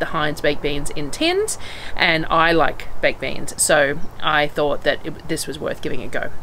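The woman's intonation is fairly even, with light noise in the background. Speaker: homestead vlogger. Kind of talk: casual vlog chat. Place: open country. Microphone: phone near.

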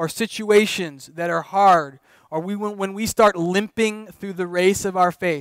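Against a quiet background, a man speaks in a high voice at a fairly slow pace. His pitch varies in an ordinary way, and the sound is dry with no echo. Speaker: pastor. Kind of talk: sermon. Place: church.

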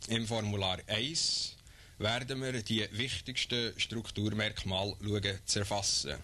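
At a very slow pace and very even loudness, a man speaks in a fairly low pitch with a bright, sharp tone and ordinary pitch variation. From Switzerland. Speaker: official explaining census. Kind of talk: scripted official explainer narration. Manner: formal, measured, earnest official tone. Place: studio. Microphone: old recording.

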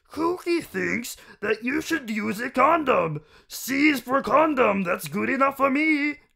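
High-pitched, gravelly and gruff put-on character voice at a fairly slow pace. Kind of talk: talks about himself in the third person. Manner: goofy, comic.

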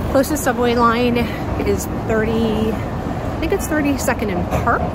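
A woman speaks very slowly in a dry sound with no echo, with loud background noise behind her. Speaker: lifestyle vlogger. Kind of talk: casual vlog chat. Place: street. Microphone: phone near.

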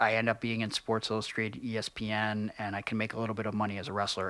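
A man with an Ohio accent talks very fast, with a dry sound, no echo and a quiet background. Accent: Midwestern American (Ohio). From Cleveland, Ohio. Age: 30s. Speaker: professional wrestler; podcast guest. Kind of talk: casual interview chat. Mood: reflective, earnest. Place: studio. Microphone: studio mic.

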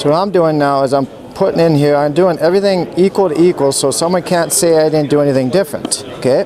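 A man with an American accent talks at a very fast pace with fairly even intonation and very even loudness. The sound is dry with no echo, with light background noise. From Minnesota. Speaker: product demonstrator. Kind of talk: product demonstration. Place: hall.

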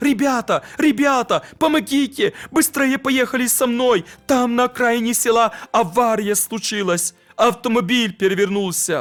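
A man's put-on character voice, extremely high-pitched and shaky, at a moderate pace and very even loudness. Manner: pleading, urgent.

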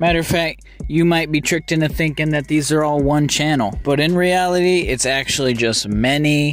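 A man speaks at a moderate pace in a fairly high pitch with ordinary pitch variation, music playing in the background. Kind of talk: casual commentary narration.

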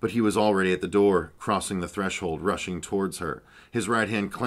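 Fairly even intonation runs through this plain reading aloud.

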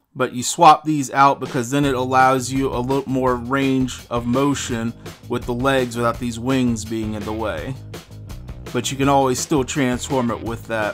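A man at a moderate pace with fairly even intonation, clear music in the background. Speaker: toy reviewer. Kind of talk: product review commentary. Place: home room.

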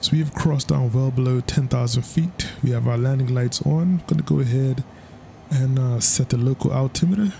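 A man talks fairly quickly while noticeable background noise plays behind him. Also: medium pitch for a man, ordinary pitch variation. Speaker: flight sim gaming youtuber. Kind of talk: gameplay commentary. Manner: casual, laid-back with frequent laughs.

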